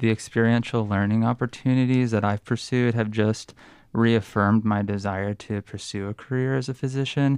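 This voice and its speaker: An unremarkable speaking voice from a man, medium in pitch, fairly even in intonation, at a moderate pace against a quiet background. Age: 30s. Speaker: peer mentor, post-bac graduate. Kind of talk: interview.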